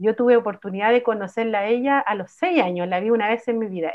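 Her pitch fairly high, a woman talks at a very fast pace with lively intonation. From Chile, Santiago (El Bosque). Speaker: musician and psychologist. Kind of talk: casual chat.

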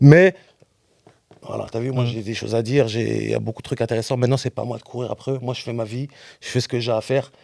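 A man's dark, mellow tone at a very fast pace, with fairly even intonation and long, frequent pauses. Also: medium pitch for a man. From France, Rennes. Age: 30s. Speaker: rapper. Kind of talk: casual interview. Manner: halting, many repetitions.

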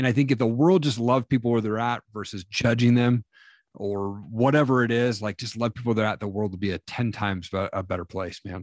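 In an American accent, a man uses a normal speaking voice at medium pitch with ordinary pitch variation, the sound dry and close with no echo. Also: fairly quick pace, quiet background. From US Northwest (Washington, Montana). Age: 40s. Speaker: MMA promoter and motivational speaker. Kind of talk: podcast interview, personal testimony. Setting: remote call.

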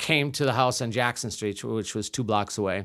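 A man speaks with a Wisconsin accent and fairly even intonation. The recording is very clean, with a silent background. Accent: Upper Midwest (Wisconsin) American. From US Midwest, Milwaukee, Wisconsin. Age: 50s. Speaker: improv comedian. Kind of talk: casual chat. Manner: halting.

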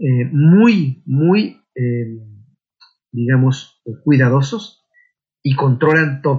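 A man's fairly high voice comes across as somewhat breathy. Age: 40s. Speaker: intended father in surrogacy. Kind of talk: interview testimony.

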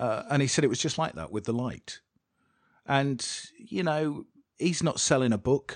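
Lively in intonation, a man with a British accent speaks at a moderate pace. He leaves long, frequent pauses. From England. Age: 40s. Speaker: podcast host, former radio DJ. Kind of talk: casual interview chat.

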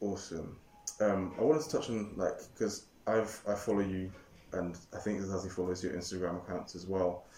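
A man talks at a fairly quick pace with a very deep, low pitch. His voice is somewhat breathy, with ordinary pitch variation. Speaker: podcast host. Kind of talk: casual chat.

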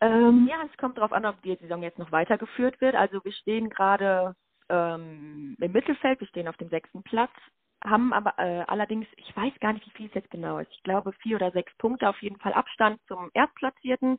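A woman with a normal speaking voice, medium pitch, lively intonation, big swings in loudness and a fairly quick pace. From Lüdenscheid, Sauerland, Germany. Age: 20s. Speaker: student teacher and handball player. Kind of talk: casual interview. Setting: phone call.

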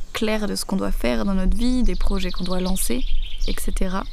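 Amid noticeable background noise and audible room echo, a woman of medium pitch talks at a moderate pace with ordinary pitch variation. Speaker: doula and podcast host. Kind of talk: solo podcast talk. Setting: outdoors in the grass under trees. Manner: hesitant with fillers.

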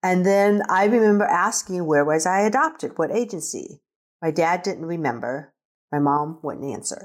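A woman with an American accent has a normal speaking voice, medium pitch, moderate pace and lively intonation. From US Midwest, rural Nebraska. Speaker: adult adoptee. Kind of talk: casual interview.

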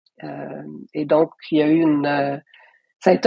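The sound is dry and close, with no echo at all. Intonation remains fairly even. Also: woman. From Quebec, Hull (Outaouais). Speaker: artist and curator. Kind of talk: interview conversation.

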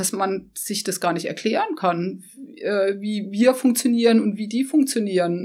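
Fairly high yet dark and mellow in tone, a woman's voice moves at a fairly slow pace with ordinary pitch variation and hardly any pauses. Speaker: photographer. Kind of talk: interview. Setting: studio.

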